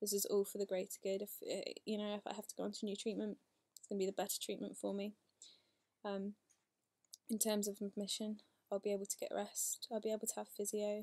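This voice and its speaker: Very fast speech is broken up by long, frequent pauses. The sound is dry and close, with no echo. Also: woman. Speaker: vlogger with multiple sclerosis. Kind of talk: video diary.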